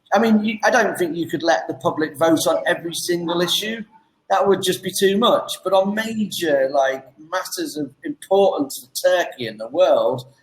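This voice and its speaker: The voice has an English accent and lively intonation. Its loudness swings widely. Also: man, high pitch for a man. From England. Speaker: online English tutor. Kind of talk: casual chat. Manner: fast.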